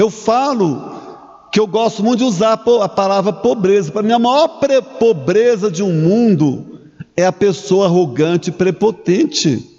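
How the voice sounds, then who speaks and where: Speaking fairly slowly in a high pitch, a man comes through noticeable background noise. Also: lively intonation. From Brazil, Minas Gerais (Curvelo). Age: 60s. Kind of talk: sermon. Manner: halting, with restarts and fillers.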